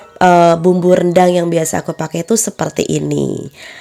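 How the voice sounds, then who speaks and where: A woman's voice sits fairly low in pitch, with music playing behind it. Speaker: home cook and catering vlogger. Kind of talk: cooking tutorial voiceover. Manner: slightly breathless.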